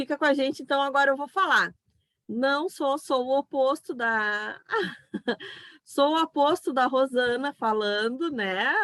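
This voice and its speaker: The voice is loud and moves at a fairly slow pace. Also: woman, dry, close sound with no echo. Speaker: psychopedagogue and online event host. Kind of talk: online talk.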